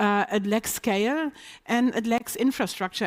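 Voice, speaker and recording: In a very clean recording with a silent background, a woman speaks with a slight non-native accent. Her pitch is fairly high, with ordinary pitch variation at a moderate pace. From Germany. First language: German. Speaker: business executive. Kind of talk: panel discussion.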